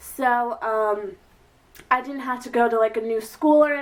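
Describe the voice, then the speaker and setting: Here is a woman with a normal speaking voice and a fairly high pitch. She speaks at a moderate pace, with ordinary pitch variation. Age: 20s. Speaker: beauty and advice vlogger. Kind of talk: casual advice vlog. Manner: chatty, filler-heavy.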